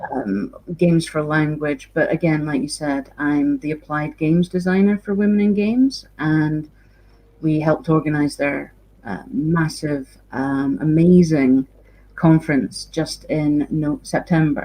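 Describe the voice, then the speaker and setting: A woman with a Scottish accent speaks at a fairly slow pace in a very deep, low pitch. Her tone is dark and mellow, and her intonation is lively. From Scotland. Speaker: games designer and university lecturer. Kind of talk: lecture.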